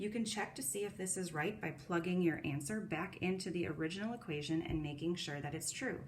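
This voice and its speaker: Fairly quick speech from a woman, fairly low in pitch, with audible room echo and noticeable background noise. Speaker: middle school math teacher. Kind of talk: recorded lesson. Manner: fast.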